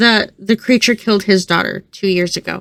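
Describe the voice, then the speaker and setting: A woman puts on a shaky character voice at a medium pitch, keeping fairly even intonation and a moderate pace, with a dry, close sound and no echo. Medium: read story.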